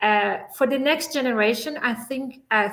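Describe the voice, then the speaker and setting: A woman with a non-native accent at a moderate pace. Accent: foreign. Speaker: scientist. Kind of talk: panel discussion.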